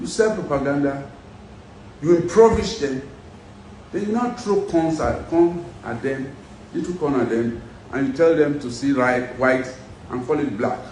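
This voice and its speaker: A man with a fairly high pitch speaks at a moderate pace, with lively intonation and long, frequent pauses. Noticeable background noise and audible room echo surround him. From Nigeria, Edo State (Benin). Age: 60s. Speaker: businessman and former pilot, political figure. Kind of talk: interview. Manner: animated.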